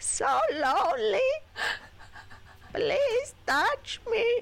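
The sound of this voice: A put-on character voice, female-sounding and extremely high in pitch.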